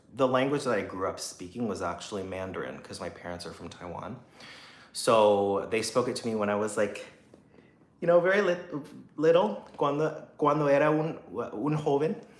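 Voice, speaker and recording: In a room with audible echo, a man talks at a moderate pace and medium pitch with very wide pitch swings. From US, Taiwanese American family. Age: 30s. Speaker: singer and YouTuber. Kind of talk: casual livestream chat. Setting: livestream. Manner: halting, many fillers and restarts.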